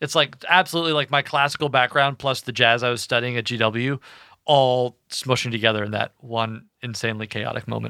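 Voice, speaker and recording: On a very clean recording with a silent background and a dry, close sound with no echo, a man speaks at a fairly quick pace with a medium pitch and an animated, bright, sharp tone. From Kentucky. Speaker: band singer and pianist. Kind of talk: casual podcast chat. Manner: animated, joking.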